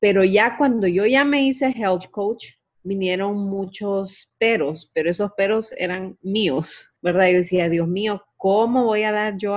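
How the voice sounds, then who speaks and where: This woman has an ordinary speaking voice, with medium pitch and ordinary pitch variation. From Honduras. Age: 40s. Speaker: health coach. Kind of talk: interview. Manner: casual.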